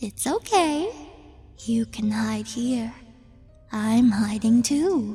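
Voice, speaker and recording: Putting on a growling, guttural character voice at a fairly high pitch, a woman speaks at a very slow pace while faint music plays in the background. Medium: read story. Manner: cajoling, sweet, unsettling.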